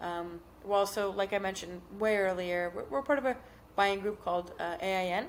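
On a very clean recording with a silent background, a woman with an unremarkable speaking voice talks at a medium pitch and a moderate pace. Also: ordinary pitch variation. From South Florida. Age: 30s. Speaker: company executive. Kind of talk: casual chat.

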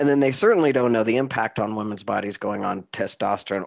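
On a very clean recording with a silent background, a man with vocal fry speaks at a very fast pace with ordinary pitch variation. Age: 50s. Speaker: podcast host. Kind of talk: interview.

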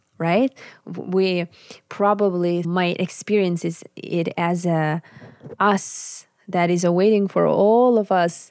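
A woman with a Siberian accent speaks at a medium pitch, her intonation fairly even. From Sakha Republic, Arctic Siberia, Russia. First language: Sakha. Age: 30s. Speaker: musician and shamanic practitioner. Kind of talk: interview conversation.

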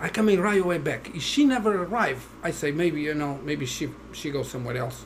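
A man with a Portuguese accent talks at a fairly quick pace in a fairly high voice, his lively intonation carried over noticeable background noise and audible room echo. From Portugal. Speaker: Halloween house decorator. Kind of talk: casual interview. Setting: at home.

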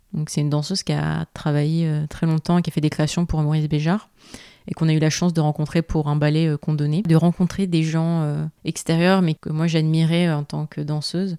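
A woman with a very deep, low pitch and a dark, mellow tone talks at a moderate pace in a monotone, flat intonation, on a very clean recording with a silent background and a dry, close sound with no echo. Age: 20s. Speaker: ballet dancer. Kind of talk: casual interview.

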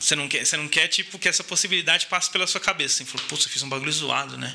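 Very fast speech from a man, noticeable background noise behind him. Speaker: podcast guest, designer. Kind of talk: casual chat.

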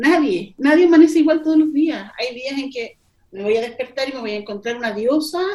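Lively intonation marks a woman's high-pitched voice. Her tone is dark and mellow. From Chile, Melipilla. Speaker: poet and editor. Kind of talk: casual interview. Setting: video call. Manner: slow, thoughtful.

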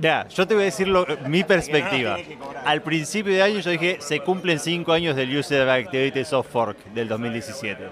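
Lively intonation at a moderate pace, with noticeable background noise. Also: man, fairly high pitch for a man. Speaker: conference speaker. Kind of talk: casual chat. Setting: restaurant.

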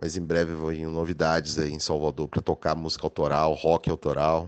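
This man's very deep, low voice proceeds at a moderate pace. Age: 40s. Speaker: radio broadcaster and show producer. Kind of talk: interview.

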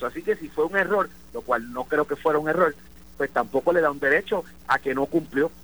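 The recording has a dry, close sound with no echo. The speaker is a man. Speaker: lawyer and former electoral commissioner. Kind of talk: live radio interview. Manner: halting, many repetitions.

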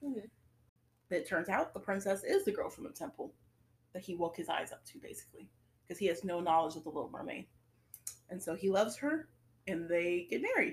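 A woman at medium pitch speaks at a fairly quick pace yet leaves long, frequent pauses. Her voice is somewhat breathy, with lively intonation and big swings in loudness. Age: 20s. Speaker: podcast co-host. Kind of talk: casual chat.

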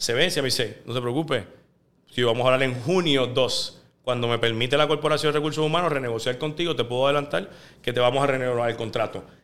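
His pitch rises and falls in a normal way. The man's delivery is very fast. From Puerto Rico, Guaynabo. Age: 30s. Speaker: sports journalist. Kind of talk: casual interview.

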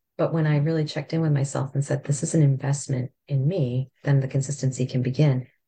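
A woman speaks very fast with hardly any pauses, in a very deep, low voice. Her tone is dark, mellow and somewhat breathy, and her intonation is monotone and flat. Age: 50s. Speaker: podcast host. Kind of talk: casual chat.

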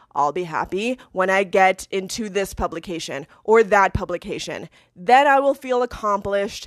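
A plain, everyday voice from a woman with an American accent, fairly slow in pace, dry and close with no echo, on a very clean recording with a silent background. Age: 30s. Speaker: former journalist, podcaster. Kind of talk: personal monologue podcast. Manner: casual, frequent laughter.

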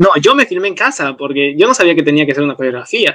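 This is a man speaking. His voice sits fairly high in pitch. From Peru, Arequipa. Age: 20s. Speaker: university student and dance teacher. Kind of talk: casual conversation.

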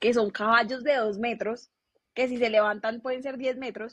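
A woman's fairly high voice at a very fast pace. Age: 20s. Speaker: business administrator. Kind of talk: interview.

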